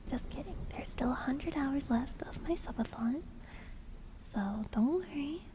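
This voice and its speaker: Soft-spoken and high-pitched, a woman talks at a moderate pace with ordinary pitch variation, with audible room echo and noticeable background noise. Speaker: vtuber streamer. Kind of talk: ASMR livestream.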